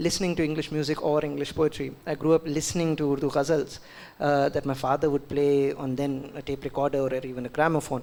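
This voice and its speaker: A man speaks at a very fast pace in a fairly high pitch and a monotone, flat delivery, with noticeable background noise behind him. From India, Delhi. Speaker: poet. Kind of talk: panel discussion at book launch. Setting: book launch event with audience. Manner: hesitant, many fillers.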